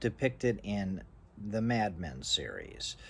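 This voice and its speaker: A man's very deep, low voice with vocal fry, in an American accent. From US East Coast. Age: 60s. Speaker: vlogger. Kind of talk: personal monologue. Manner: halting.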